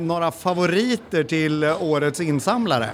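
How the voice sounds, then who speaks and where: Noticeable background noise sits behind this man's voice. He speaks fairly slowly at a high pitch. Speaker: podcast co-host interviewing at a conference. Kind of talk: casual on-site interviews. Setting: conference venue with crowd.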